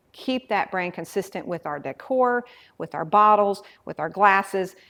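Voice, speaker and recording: Recorded very cleanly against a silent background, a woman talks at a medium pitch. Her pace is moderate, with ordinary pitch variation. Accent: Southern US. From Mississippi, US South. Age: 40s. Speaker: meadery owner, former kindergarten teacher. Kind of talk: interview.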